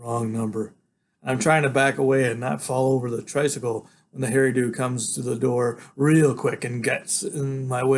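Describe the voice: This is plain reading aloud with fairly even intonation against a quiet background.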